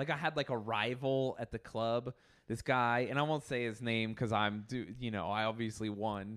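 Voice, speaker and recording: A plain, everyday voice in an American accent, at a moderate pace. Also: man, medium pitch for a man, fairly even intonation. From rural Utah, Millard County. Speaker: stand-up comedian. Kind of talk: casual chat.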